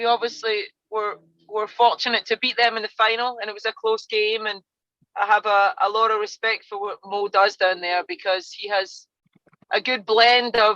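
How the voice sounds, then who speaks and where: A woman's fairly high voice with a bright, sharp tone and a Scottish accent, moderate pace, and dry, close sound with no echo. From Scotland. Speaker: college soccer coach. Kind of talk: podcast interview.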